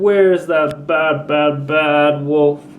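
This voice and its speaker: Putting on a character voice, a man speaks at a fairly high pitch in a monotone, flat delivery over clear background noise. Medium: read story.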